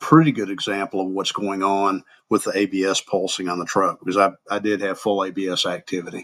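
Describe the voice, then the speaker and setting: A man with a Southern US accent, fairly low in pitch, at a fairly quick pace with fairly even intonation. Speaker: crash reconstruction instructor. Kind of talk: software tutorial narration. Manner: casual, unpolished.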